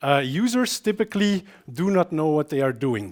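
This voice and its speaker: A man with a Flemish accent speaks with lively intonation, his voice dry and close with no echo. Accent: Belgian Dutch (Flemish) accent in English. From Belgium. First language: Dutch. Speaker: software developer and conference speaker. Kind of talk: conference talk. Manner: frequent filler hesitations.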